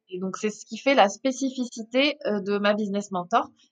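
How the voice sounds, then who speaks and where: The woman's pitch varies in an ordinary way. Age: 30s. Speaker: entrepreneur and business mentor. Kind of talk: interview. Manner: halting, frequent repetitions.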